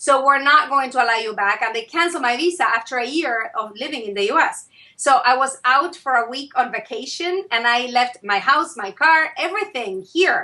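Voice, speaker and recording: A woman's high, bright, sharp voice, raised and projected, with an Argentine accent, a moderate pace and hardly any pauses. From Argentina, Buenos Aires. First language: Spanish. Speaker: author and consultant. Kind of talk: interview. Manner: hesitant fillers.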